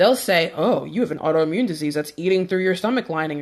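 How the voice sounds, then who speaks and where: At a very fast pace, a woman with a fairly low pitch sounds animated and uses lively intonation. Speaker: fitness and health influencer. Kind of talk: live stream talk. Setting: Instagram live video.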